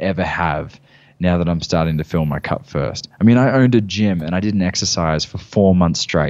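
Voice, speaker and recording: A man's very deep, low voice with a calm tone. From Australia. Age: 20s. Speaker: men's work facilitator and former personal trainer. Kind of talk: casual interview chat. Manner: calm, grounded.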